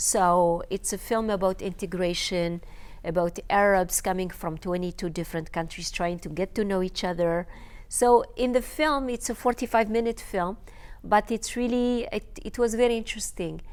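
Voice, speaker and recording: Medium in pitch, a woman talks at a moderate pace with ordinary pitch variation. The recording is very clean and the background silent. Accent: North African. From Algeria. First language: Berber. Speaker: filmmaker and journalist. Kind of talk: interview. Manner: halting, many fillers.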